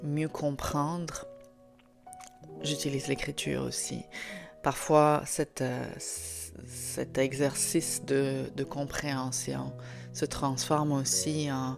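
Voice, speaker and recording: A woman speaks with a slight Italian accent at a very slow pace, leaving long, frequent pauses. Music plays in the background. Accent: faint Italian. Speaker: author and podcast host. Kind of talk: podcast talk. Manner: hesitant, many fillers.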